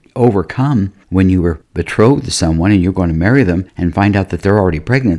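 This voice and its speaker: With a dark, mellow tone, a man talks at a fairly low pitch. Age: 70s. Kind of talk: devotional teaching monologue.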